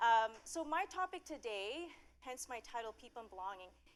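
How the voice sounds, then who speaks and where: Over noticeable background noise, a woman talks at a fairly quick pace in a fairly high pitch, her tone animated and her pitch swinging very widely. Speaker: conference speaker, studio people director. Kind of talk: conference workshop talk. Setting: stage with audience, PA system. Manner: fast when nervous.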